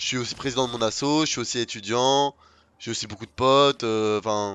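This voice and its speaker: In an ordinary speaking voice, a man talks fairly quickly at a medium pitch with fairly even intonation. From France, Lyon area and south. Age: 20s. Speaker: gaming streamer. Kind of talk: casual live-stream chat while gaming.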